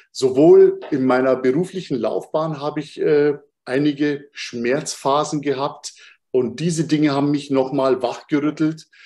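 A man's fairly high voice in a dark, mellow tone, at a fairly slow pace with fairly even intonation. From Bavaria, Munich. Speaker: human design coach. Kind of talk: interview conversation.

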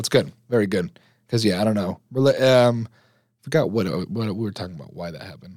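A man with a plain, everyday voice, fairly low pitch, lively intonation, big swings in loudness, and a fairly quick pace. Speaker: podcast host, college student. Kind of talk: casual chat.

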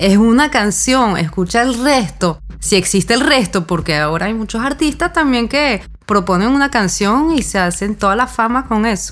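Amid noticeable background noise, a woman speaks at a moderate pace with a fairly high pitch, lively intonation and very even loudness. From mixed European and Venezuelan heritage. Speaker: musician. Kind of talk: casual conversation.

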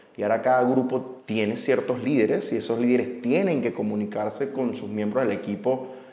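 Audible room echo and noticeable background noise surround a man speaking at a moderate pace, his medium pitch varying in an ordinary way. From Venezuela. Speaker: podcast host. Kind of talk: casual interview. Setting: coworking space.

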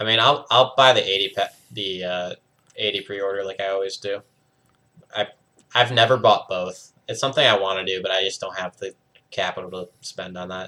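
At a fairly quick pace, a normal speaking voice moves through big swings in loudness while the intonation stays fairly even. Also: man, fairly low pitch for a man. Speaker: podcast host. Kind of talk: casual chat.

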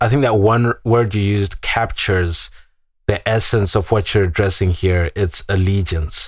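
A somewhat breathy man with a fairly low pitch talks at a moderate pace, with fairly even intonation and very even loudness, on a very clean recording with a silent background. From Zimbabwe. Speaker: podcast host. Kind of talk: podcast interview.

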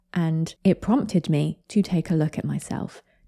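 A woman with a British accent speaks at a moderate pace in a fairly low pitch, with a dark, mellow tone and ordinary pitch variation, in a dry, close, very clean recording with a silent background and no echo. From Britain. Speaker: podcast host summarising other podcasts. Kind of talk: solo commentary podcast. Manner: casual, conversational.

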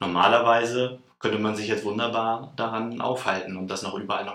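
Over noticeable background noise and audible room echo, a man with a fairly low pitch talks at a moderate pace with fairly even intonation. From northern Germany, Lower Saxony (Celle). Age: 30s. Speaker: vocational school teacher, former trainee teacher. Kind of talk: interview conversation.

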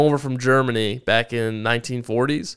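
Intonation stays fairly even in a plain, everyday voice delivered at a fairly slow pace. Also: man. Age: 20s. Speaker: entrepreneur. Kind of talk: interview. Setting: studio.

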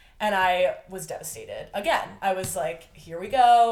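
Heard with audible room echo, a woman speaks at a medium pitch. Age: 20s. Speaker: friend of the host, aspiring medical student. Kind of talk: casual chat.

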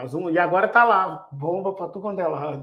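In a room with audible echo, a man speaks at a fairly slow pace with a high-pitched voice. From Belo Horizonte, Brazil. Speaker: podcast host, industrial cybersecurity consultant. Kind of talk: casual chat. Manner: animated.

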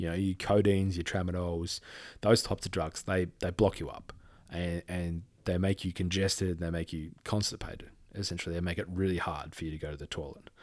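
A man with an Australian accent talks at a fairly quick pace in a very deep, low voice with monotone, flat intonation. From Western Australia. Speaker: podcast host. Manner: halting, emotional; informal, warm.

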